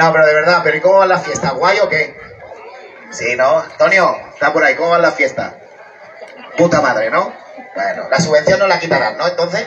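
A man talks at a fairly quick pace. Light background noise can be heard. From Catalonia, Santa Coloma de Gramenet; Catalonia. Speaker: stand-up comedian. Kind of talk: stand-up. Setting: outdoor stage at neighbourhood festival with audience. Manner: animated. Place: stage. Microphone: camera far.

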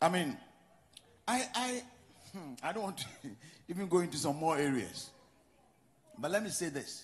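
At a moderate pace broken by long, frequent pauses, a man with a Ghanaian accent speaks at a high pitch in an animated tone with lively intonation, and audible room echo surrounds him. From Ghana, Western region. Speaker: pastor. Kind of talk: sermon. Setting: church.

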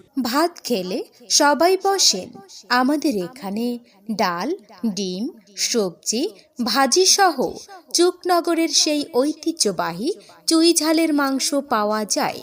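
A high-pitched woman's voice makes very wide pitch swings over noticeable background noise. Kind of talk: loudspeaker advertising announcement.

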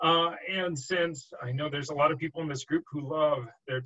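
Moderate pace and ordinary pitch variation from a man, quiet background. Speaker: guest. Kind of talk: lecture. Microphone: video call.

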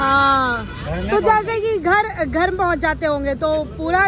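Lively intonation in a dry sound with no echo, with crowd noise in the background. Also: woman. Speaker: street food vlogger. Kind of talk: casual food vlog talk to camera. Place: street. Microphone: phone near.

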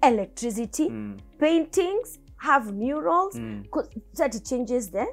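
A woman's raised, projected voice at a very slow pace over faint music in the background. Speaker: candidate. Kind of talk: interview answer. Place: studio.

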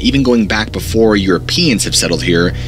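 A man speaks fairly quickly while faint music sounds in the background. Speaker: horror storyteller youtuber. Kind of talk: narrated storytelling. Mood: dark, suspenseful. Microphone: studio mic.

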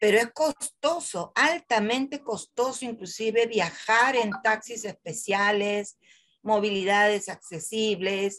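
The speech comes at a very slow pace with very even loudness. The background is quiet. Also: woman, fairly high pitch for a woman, ordinary pitch variation. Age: 60s. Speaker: wheelchair user and church laywoman. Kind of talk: personal testimony in Q&A. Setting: video call. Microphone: video call.

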